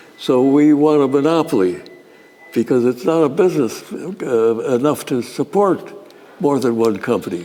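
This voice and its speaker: A man speaks at a moderate pace with lively intonation and a fairly high pitch, over noticeable background noise. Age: 80s+. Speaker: inventor, engineer. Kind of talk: interview answer.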